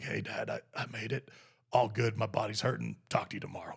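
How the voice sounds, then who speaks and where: A man puts on a raspy character voice at a medium pitch. He talks at a fairly quick pace. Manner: casual, tired.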